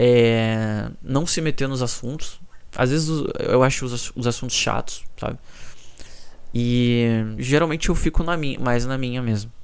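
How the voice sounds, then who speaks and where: Soft-spoken and at a medium pitch, a man talks at a fairly slow pace with fairly even intonation, and audible room echo is present. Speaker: YouTuber. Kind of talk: personal vlog monologue. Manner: low energy.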